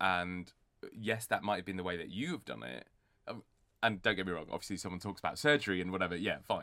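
With vocal fry and lively intonation, a man talks very fast at a very deep, low pitch. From northern England, Bradford. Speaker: TV producer. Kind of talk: interview.

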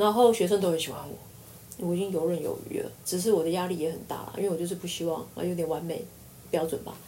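Talking at a very fast pace, a woman speaks with audible room echo around her. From Taiwan. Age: 40s. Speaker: university lecturer. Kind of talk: casual interview.

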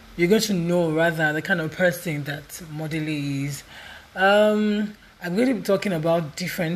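Ordinary pitch variation marks this voice, which keeps a moderate pace. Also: woman. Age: 20s. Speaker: podcaster. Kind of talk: casual monologue.

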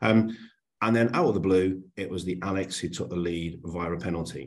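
Ordinary pitch variation at a moderate pace. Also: man. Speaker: podcast host. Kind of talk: casual chat.

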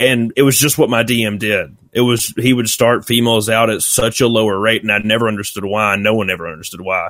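A man with a Southern US accent talks at a very fast pace with hardly any pauses. His pitch is medium and his intonation fairly even. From US South, Alabama. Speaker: YouTuber and former retail employee. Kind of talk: casual interview.

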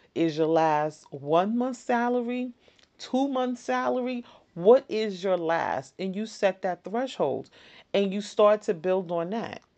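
Her voice has a dark, mellow tone at a medium pitch and very wide pitch swings. The woman talks at a very slow pace. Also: quiet background. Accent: American. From New York City (the Bronx). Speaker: podcast host. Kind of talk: solo podcast monologue, motivational. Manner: casual, conversational with laughs.

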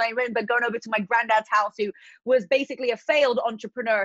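In a dry, close recording with no echo, a woman speaks in a high pitch with a British accent. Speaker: fitness influencer and entrepreneur. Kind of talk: casual interview chat.

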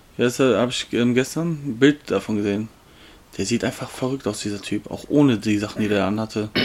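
Amid noticeable background noise, a man with a medium pitch talks at a fairly quick pace and ordinary pitch variation. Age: 20s. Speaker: podcast co-host. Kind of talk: casual chat. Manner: loud.

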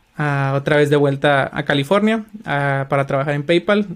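Using an unremarkable speaking voice, a man talks at a moderate pace and fairly high pitch with ordinary pitch variation. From Mexico, Culiacán, Sinaloa. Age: 30s. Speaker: software developer. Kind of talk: interview.

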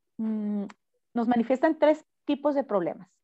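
A woman speaks with a fairly high pitch and ordinary pitch variation against a quiet background. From Mexico, Cananea, Sonora. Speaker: mayoral candidate, politician. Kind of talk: interview.

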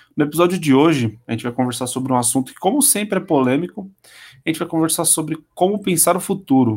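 A man talks fairly quickly in an ordinary speaking voice, his pitch variation ordinary. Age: 20s. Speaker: podcast host. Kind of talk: casual chat.

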